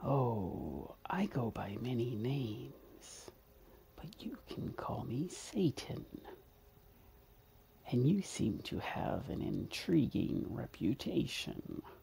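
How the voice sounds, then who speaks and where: Whispering at a very slow pace, a man uses a put-on character voice. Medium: machinima.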